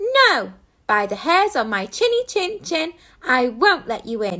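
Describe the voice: A woman's squeaky, put-on character voice at an extremely high pitch, raised and projected, with very wide pitch swings and a fairly slow pace.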